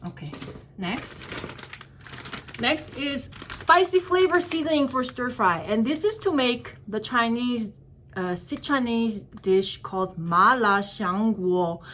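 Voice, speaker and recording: A woman speaks with a Korean accent at a fairly slow pace. Her fairly high voice makes very wide pitch swings. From South Korea. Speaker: vlogger. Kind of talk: casual shopping haul vlog. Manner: hesitant, many fillers.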